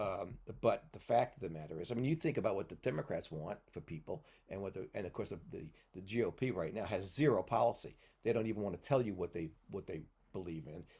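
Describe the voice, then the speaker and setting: In an American accent, a man talks at a very fast pace with a fairly low, somewhat breathy voice and a dark, mellow tone. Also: lively intonation. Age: 70s. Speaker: podcast guest. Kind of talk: casual chat. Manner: halting.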